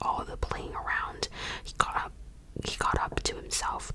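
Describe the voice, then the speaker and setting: Amid noticeable background noise, a woman whispers at a moderate speed. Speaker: ASMR creator. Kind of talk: whispered audiobook-style reading. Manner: whispering, soft.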